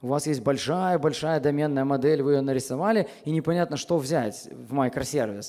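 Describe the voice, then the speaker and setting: A man with a fairly high pitch and a dark, mellow tone talks at a moderate pace. His pitch varies in an ordinary way, and the background is quiet. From Belarus, Minsk; Belarus. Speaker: software architect, conference speaker; conference speaker. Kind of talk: conference talk. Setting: stage with audience. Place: hall. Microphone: headset.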